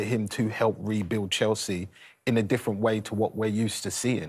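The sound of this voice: A man's fairly low voice with a slightly husky edge, at a fairly quick pace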